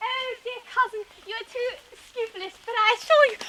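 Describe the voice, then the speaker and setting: A squeaky, put-on character voice with an extremely high pitch goes along at a moderate pace. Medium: short film. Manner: gushing, overly formal.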